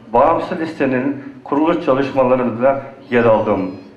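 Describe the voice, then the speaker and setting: The speech moves at a fairly slow pace with lively intonation. Noticeable background noise is present. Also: man. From western Thrace, Greece. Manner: formal.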